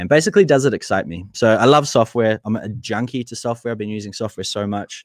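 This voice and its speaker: A man with a fairly low pitch talks at a very fast pace. The sound is dry and close, with no echo. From New Zealand. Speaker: marketing entrepreneur and YouTuber. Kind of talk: webinar presentation and interview. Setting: live video webinar.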